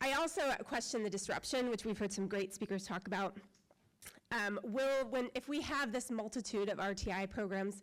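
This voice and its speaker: With an American accent, the speaker talks fairly fast, pitch moving in an ordinary way. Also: woman. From northwest Ohio. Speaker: parent giving public comment. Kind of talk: public comment speech. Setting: school board meeting room.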